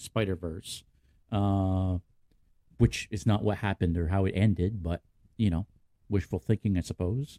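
A man speaks at a moderate pace, his voice dry and close with no echo. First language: French. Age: 40s. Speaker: podcast host. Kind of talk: casual chat. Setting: live-streamed video call.

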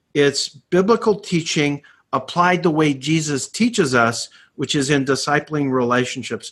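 A man's normal speaking voice, fairly high in pitch, with lively intonation at a moderate pace. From Canada. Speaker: ministry network director. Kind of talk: webinar host discussion.

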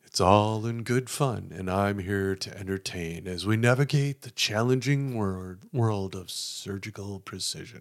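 A man with a fairly low voice speaks at a fairly slow pace, with ordinary pitch variation but big swings in loudness, in an unremarkable speaking voice. The recording is very clean, with a silent background. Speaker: podcast co-host. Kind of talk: casual comedic banter. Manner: jokey, plays comedic characters.

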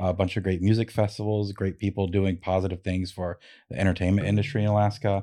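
Over a quiet background, a man with an American accent talks at a very fast pace in a dark, mellow tone with fairly even intonation. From lower 48 US. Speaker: comedian and cannabis brand director. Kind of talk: casual chat.

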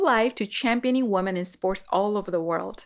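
A woman speaks in a plain, everyday voice on a very clean recording with a silent background. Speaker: podcast host. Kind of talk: interview intro and conversation.

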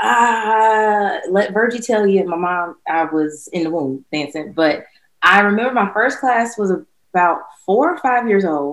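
Talking at a fairly slow pace, a woman with a North Carolina accent uses a medium pitch and lively intonation. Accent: US Southern (North Carolina). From North Carolina, Durham. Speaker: former college dancer and dance instructor. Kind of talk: interview.

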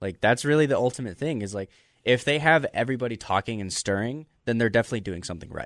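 A man with an American accent at medium pitch, very fast in pace, ordinary in pitch variation, in a dry, close sound with no echo against a quiet background. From Las Vegas, US. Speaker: pro wrestler. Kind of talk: casual chat. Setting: studio.

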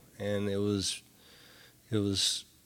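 Very clean with a silent background, this recording features a man with a Tennessee accent. He speaks at a fairly slow pace. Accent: Southern US (Tennessee). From US South, Nashville, Tennessee. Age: 50s. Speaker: sober living home operator, person in recovery. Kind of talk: testimony. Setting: studio. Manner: halting, many fillers and repetitions.

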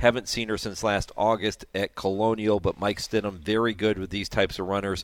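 Talking at a fairly quick pace with hardly any pauses, a man with a fairly low pitch keeps a flat monotone. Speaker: racing analyst. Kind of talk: casual analysis, reading race results and odds.

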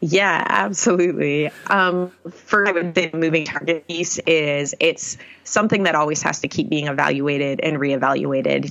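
A woman speaks at a moderate pace with a very deep, low pitch. Her intonation stays fairly even. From New England. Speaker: youth ministry director. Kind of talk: interview.

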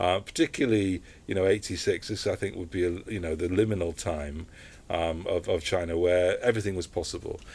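A man talks at a fairly quick pace in a very deep, low, somewhat breathy voice with fairly even intonation. The recording is very clean, with a silent background. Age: 50s. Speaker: photographer. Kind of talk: interview. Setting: book shop.

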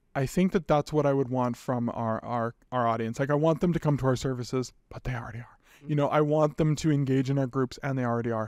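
Speaking very fast with hardly any pauses, a man with a Canadian accent keeps a medium pitch and fairly even intonation, in a dry, close sound with no echo and a quiet background. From western Canada (British Columbia). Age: 30s. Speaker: nonprofit executive director. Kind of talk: interview.

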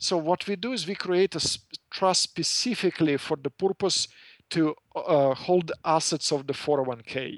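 In a Russian accent, a man with a fairly high pitch speaks at a moderate pace with ordinary pitch variation, the sound dry and close with no echo in a very clean recording with a silent background. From former Soviet Union. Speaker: financial services business owner. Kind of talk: interview. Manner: halting, many fillers.

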